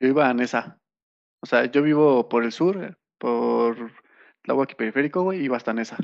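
A man speaks in a plain, everyday voice at medium pitch and a moderate pace, with ordinary pitch variation over a quiet background. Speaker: podcast co-host. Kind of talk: casual chat.

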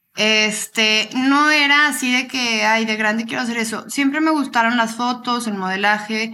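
Her voice is fairly high in pitch with a bright, sharp tone, moving at a fairly slow pace with hardly any pauses. The woman's recording carries audible room echo. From Torreón, Coahuila, northern Mexico. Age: 20s. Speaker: model and social media influencer, psychology student. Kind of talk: casual interview.

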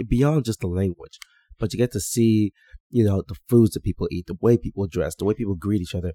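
Speaking at a very fast pace, a man has a fairly low pitch. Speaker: physician and podcast host. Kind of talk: solo mentoring podcast monologue. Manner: animated.

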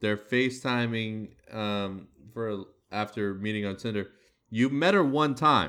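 Using an ordinary speaking voice, a man talks at a medium pitch and a fairly slow pace, with ordinary pitch variation. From United States. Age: 30s. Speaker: podcast host. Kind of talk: casual chat.

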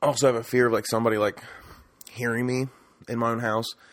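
A man's medium-pitched voice, monotone and flat, at a very fast pace. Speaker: solo podcaster. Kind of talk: casual solo monologue. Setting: alone at home. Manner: rambling, hesitant.

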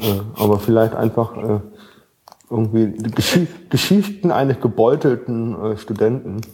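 A man talks at a fairly slow pace with long, frequent pauses, his medium pitch varying in an ordinary way at a very even loudness. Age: young. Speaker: podcast host, theology student. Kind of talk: casual chat.

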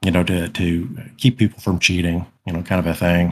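A man's very deep, low voice, monotone and flat, in a very clean recording with a silent background. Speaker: gamer guest, Living Greyhawk veteran.

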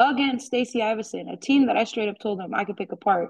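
A woman's fairly high voice, a normal speaking voice, with ordinary pitch variation. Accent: American. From Arizona (Yuma). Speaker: softball coach. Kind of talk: interview. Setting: phone call.

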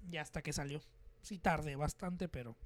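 This man's voice sits at a fairly high pitch. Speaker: podcast host and musician. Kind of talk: casual chat. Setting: studio with cameras.

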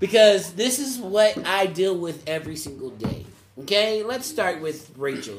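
A high-pitched man's voice with very wide pitch swings, over noticeable background noise. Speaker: podcast host and youth mentor. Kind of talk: casual group conversation podcast with teens. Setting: around a table at an after-school program. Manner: playful, teasing, conversational.

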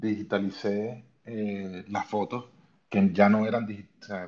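Fairly deep male speech, its intonation mostly level. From Venezuela. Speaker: photographer. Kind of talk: interview on live audio space. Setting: online audio room. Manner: halting.

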